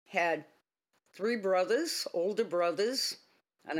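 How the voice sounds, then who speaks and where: In a very clean recording with a silent background, a woman speaks at medium pitch. Her pace is very slow. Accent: Boston. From Boston area, Massachusetts. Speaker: retired police officer. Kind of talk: interview storytelling.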